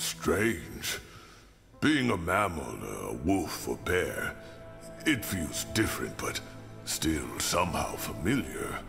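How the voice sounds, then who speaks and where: A man talks very slowly in a put-on character voice with a very deep, low pitch. Clear music plays in the background. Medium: machinima. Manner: measured, reflective.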